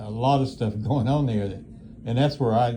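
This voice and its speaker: Over audible room echo, a man speaks very fast in a dark, mellow, somewhat breathy voice with fairly even intonation. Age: 80s+. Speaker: nursing home resident. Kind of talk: casual chat. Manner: halting.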